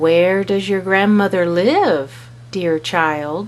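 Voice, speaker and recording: A woman puts on a character voice at a fairly low pitch. She goes at a very slow pace over clear background noise. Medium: read story. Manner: falsely sweet.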